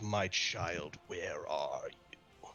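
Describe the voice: Over clear background noise, a man puts on a gravelly character voice.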